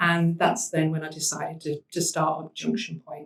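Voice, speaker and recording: Somewhat breathy, a woman's voice moves along at a moderate pace. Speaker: social enterprise managing director. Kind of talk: panel talk.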